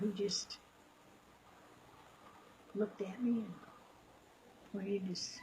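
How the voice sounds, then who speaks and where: The speaker is a woman with a somewhat breathy voice. Her tone is dark and mellow. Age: 80s+. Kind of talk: interview answer.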